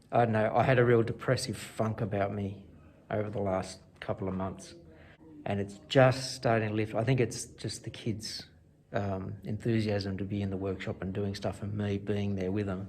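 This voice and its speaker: With an Australian accent, a man talks at a moderate pace in a fairly low pitch. His voice is somewhat breathy, with monotone, flat intonation. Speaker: woodwork teacher. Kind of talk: casual vlog talk to camera.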